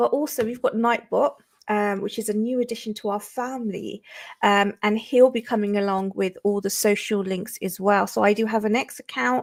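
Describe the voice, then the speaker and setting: Here is a woman with a British accent and a fairly high pitch. She keeps a moderate pace and ordinary pitch variation. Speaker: crypto livestreamer. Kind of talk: livestream chat. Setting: livestream. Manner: casual, many filler ums.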